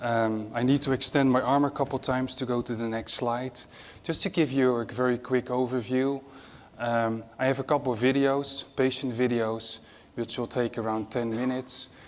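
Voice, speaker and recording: With a Dutch accent, a man speaks at a medium pitch and moderate pace in a monotone, flat intonation. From Netherlands. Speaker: nurse-anesthetist and mission charity executive. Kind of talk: conference talk.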